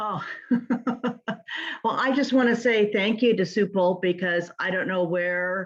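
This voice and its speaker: A woman with a plain, everyday voice, ordinary pitch variation and a fairly slow pace. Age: 60s. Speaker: audience member. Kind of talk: casual chat.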